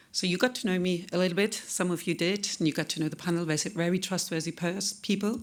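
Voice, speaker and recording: At a fairly quick pace, a woman with a fairly low pitch and a non-native accent speaks with ordinary pitch variation in a very clean recording with a silent background. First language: not English. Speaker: data protection consultant. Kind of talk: conference talk. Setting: conference stage with audience.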